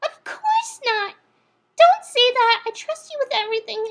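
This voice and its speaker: A woman adopts a put-on character voice, squeaky and extremely high-pitched, talking at a moderate pace. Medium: read story. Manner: bouncy, theatrical.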